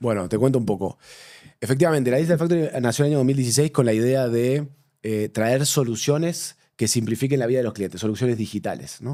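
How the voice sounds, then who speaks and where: Over a very clean recording with a silent background, a man with a Rioplatense accent speaks very fast in a dark, mellow tone at a medium pitch. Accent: Rioplatense Spanish, mistaken for Argentine. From Uruguay. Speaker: bank digital transformation manager. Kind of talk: interview conversation.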